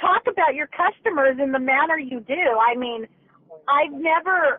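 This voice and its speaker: A woman speaks loudly at a fairly slow pace with lively intonation. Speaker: customer, caller. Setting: phone, via car Bluetooth. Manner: agitated, indignant.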